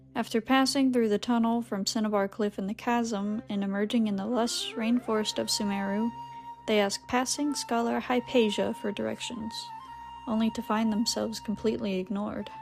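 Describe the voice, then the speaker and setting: Woman with a fairly high pitch, fairly even intonation and a moderate pace, music in the background. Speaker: YouTuber reading a game story recap. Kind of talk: recap reading of game story, ASMR-style. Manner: soothing, calm.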